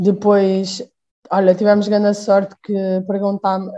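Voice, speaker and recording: A woman's dark, mellow tone at a moderate pace. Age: 20s. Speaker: handball player. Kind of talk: interview.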